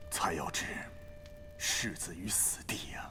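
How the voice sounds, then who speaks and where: A man whispers in a put-on character voice at a fairly slow pace. Loud background noise runs behind him. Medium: short film. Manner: weary, resigned.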